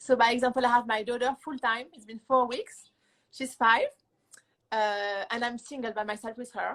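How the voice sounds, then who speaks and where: She speaks with a French accent in a high pitch, her intonation fairly even. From France. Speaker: musician. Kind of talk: interview. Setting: Instagram live show.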